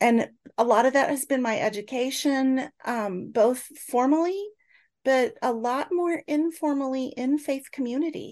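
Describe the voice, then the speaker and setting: Against a quiet background, a woman with a US Midwestern accent speaks at a high pitch and a fairly slow pace, with ordinary pitch variation. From Northeast Kansas, US Midwest. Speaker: church justice minister and professor. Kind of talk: interview.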